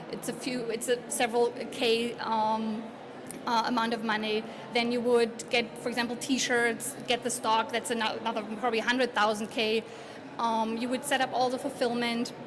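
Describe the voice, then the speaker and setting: A woman with a German accent speaks at a fairly high pitch in a monotone, flat intonation. Audible room echo and noticeable background noise surround her. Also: moderate pace. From Germany. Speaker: conference speaker. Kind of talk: conference presentation. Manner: halting.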